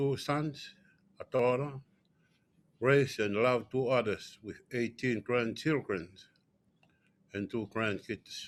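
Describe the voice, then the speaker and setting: A man with a Tongan accent speaks at a fairly slow pace, leaving long, frequent pauses. His pitch is medium and his intonation fairly even. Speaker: panelist. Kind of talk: personal testimony. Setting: conference stage with audience.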